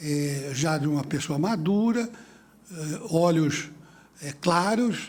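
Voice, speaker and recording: Very slow speech with long, frequent pauses carries audible room echo. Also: man, fairly high pitch for a man, ordinary pitch variation. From São Paulo city, Brazil. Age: 70s. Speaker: judge chairing a panel. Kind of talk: conference panel opening speech. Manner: hesitant, many fillers.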